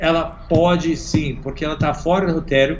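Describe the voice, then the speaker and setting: In an American accent, a man speaks at a fairly high pitch with fairly even intonation, and audible room echo surrounds his voice. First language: English (speaking Portuguese). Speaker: innovation consultant. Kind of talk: interview.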